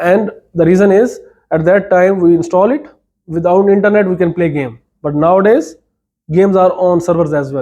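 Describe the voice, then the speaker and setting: A man speaks at a high pitch. His tone is dark and mellow. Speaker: university lecturer. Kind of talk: lecture. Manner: fast.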